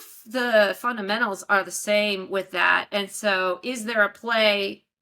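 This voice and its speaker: With a slight Texas accent, a woman speaks at a fairly high pitch in a bright, sharp tone and fairly even intonation. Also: hardly any pauses, big swings in loudness. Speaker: investment advisor, bitcoin mining expert. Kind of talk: interview.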